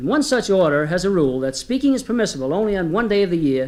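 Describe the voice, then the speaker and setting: A man with an Irish accent talking at a very fast pace. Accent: occasional put-on Irish brogue. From United States. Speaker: comedian. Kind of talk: comedy storytelling to live audience.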